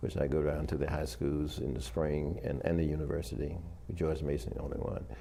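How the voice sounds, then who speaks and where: A man's very deep, low voice with fairly even intonation and audible room echo. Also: fairly quick pace. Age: 80s+. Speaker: retired army officer and professor. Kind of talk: interview. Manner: halting.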